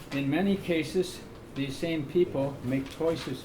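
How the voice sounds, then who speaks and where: A man at a fairly slow pace with ordinary pitch variation, amid audible room echo and noticeable background noise. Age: 80s+. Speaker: public commenter at county meeting. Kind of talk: public comment at meeting.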